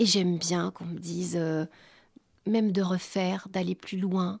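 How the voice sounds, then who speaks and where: On a very clean recording with a silent background and a dry, close sound with no echo, a woman speaks at a very slow pace in a dark, mellow, somewhat breathy tone. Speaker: voice actor. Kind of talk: interview answer.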